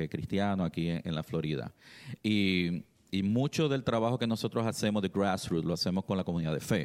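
Very deep and low in pitch, a man talks at a fairly quick pace with very even loudness, in a very clean recording with a silent background. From Puerto Rico, Trujillo Alto. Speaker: political party community liaison. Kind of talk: radio interview. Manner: halting.

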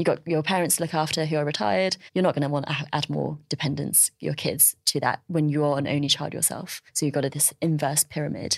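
With a British accent, a woman talks at a very deep, low pitch and with fairly even intonation. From China, then UK from about age nine. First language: Chinese. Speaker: journalist and podcast host. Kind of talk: interview conversation.

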